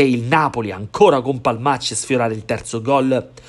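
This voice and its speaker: A man delivers his lines in a dramatic tone against noticeable background noise. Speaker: sports commentator. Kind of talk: sports highlights commentary, voiced over match footage. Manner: fast, animated play-by-play, rising on goals and near-misses; polished, dramatic narration with vivid verbs.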